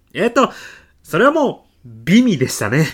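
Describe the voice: A man puts on a character voice, pitched high with very wide swings and a slightly husky edge. He keeps a moderate pace on a very clean recording with a silent background.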